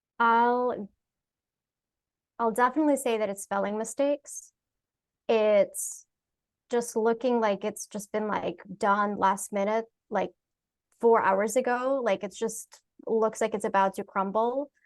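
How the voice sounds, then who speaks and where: A speaker with a non-native accent talks at a fairly slow pace with fairly even intonation. Long, frequent pauses fall in a dry, close sound with no echo. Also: woman, fairly high pitch for a woman. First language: not English. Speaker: UX professional. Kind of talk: panel discussion.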